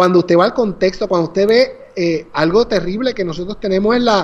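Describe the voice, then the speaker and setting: Here a man speaks in a high pitch with ordinary pitch variation. His pace is moderate. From Puerto Rico, Naguabo. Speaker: pastor and author. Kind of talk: casual interview about his book.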